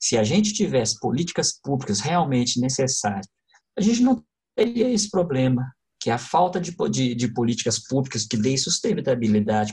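A man, somewhat breathy, at a moderate pace with very wide pitch swings. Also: medium pitch for a man. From Brazil, Contagem (Minas Gerais). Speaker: lighting designer and actor. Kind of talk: interview.

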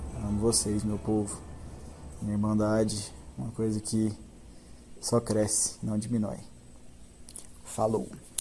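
With audible room echo, a man with a dark, mellow tone, fairly low pitch and a somewhat breathy voice speaks at a fairly slow pace, taking long, frequent pauses, his pitch varying in an ordinary way. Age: 20s. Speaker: podcast host. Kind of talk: monologue.

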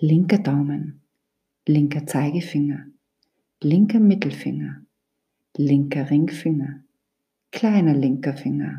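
In a calm, soothing tone, the speaker goes at a very slow pace with long, frequent pauses. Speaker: yoga teacher / meditation guide. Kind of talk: guided meditation (Yoga Nidra). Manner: slow, calm, soothing; gently instructive, with long pauses.

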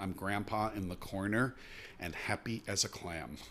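A man talks with a fairly low pitch. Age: 60s. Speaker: media executive. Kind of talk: interview.

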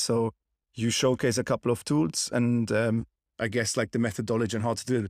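A man with a German accent speaks at a moderate pace and a medium pitch. The recording is very clean, with a silent background. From Germany. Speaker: podcast host. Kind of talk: casual interview.

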